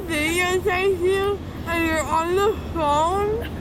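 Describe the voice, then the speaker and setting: Crowd noise sits in the background as a woman speaks at a very slow pace with ordinary pitch variation, in a dry sound with no echo. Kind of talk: casual phone conversation. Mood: playful, mildly annoyed. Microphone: phone near.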